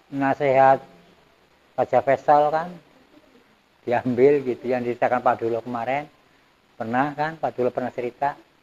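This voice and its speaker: A man speaks in a monotone with flat intonation, the sound dry and close with no echo. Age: 70s. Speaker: village elder recounting community history. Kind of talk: oral history interview. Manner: conversational, meandering.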